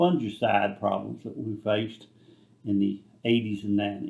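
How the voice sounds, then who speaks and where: In a rural Kentucky accent, a man speaks at a moderate pace. His pitch is fairly low. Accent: Kentucky rural Southern. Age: 70s. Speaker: retired tobacco farmer. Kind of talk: interview.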